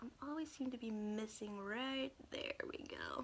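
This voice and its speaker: Speaking with an American accent over noticeable background noise, a woman uses a high pitch, an animated tone and lively intonation. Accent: Texas twang, comes out now and then. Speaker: makeup vlogger. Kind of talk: makeup tutorial livestream. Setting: Facebook live stream. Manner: animated, chatty.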